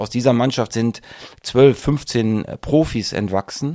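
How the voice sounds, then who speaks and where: A man with a medium pitch speaks in a normal speaking voice with fairly even intonation. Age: 40s. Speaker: football coach. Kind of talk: interview.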